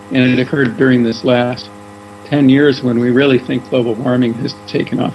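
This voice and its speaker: A man talks at medium pitch and a moderate pace with fairly even intonation. Noticeable background noise is present. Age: 60s. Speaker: local resident interviewed about climate change. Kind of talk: interview testimony. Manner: casual, with frequent filler words.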